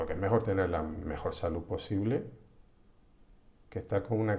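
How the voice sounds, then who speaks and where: Here is a man with a very deep, low pitch and fairly even intonation. His voice has a dark, mellow tone. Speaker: psychologist. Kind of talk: live-streamed psychology talk. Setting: live stream from home computer. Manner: slow; halting, many restarts.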